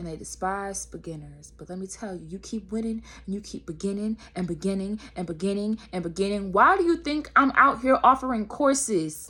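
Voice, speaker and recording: Speaking fairly quickly with hardly any pauses, a woman uses a medium pitch and a bright, sharp tone, her animated delivery marked by lively intonation and big swings in loudness. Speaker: spiritual vlogger. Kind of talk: motivational monologue.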